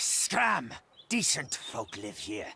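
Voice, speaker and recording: A man's growling, put-on character voice at a medium pitch. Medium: video game. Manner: aggressive, crude.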